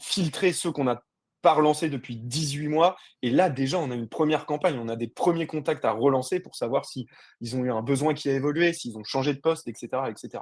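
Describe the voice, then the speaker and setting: At a moderate pace, a man with fairly high pitch speaks in an energetic, animated tone with ordinary pitch variation. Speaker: sales and marketing director. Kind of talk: webinar presentation.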